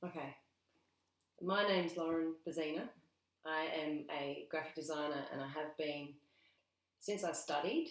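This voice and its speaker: Moderate pace with an Australian accent, fairly even intonation, and long, frequent pauses. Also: woman, very deep, low pitch for a woman. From South Australia. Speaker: graphic designer. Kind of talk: casual interview. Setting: at a kitchen table. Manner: halting.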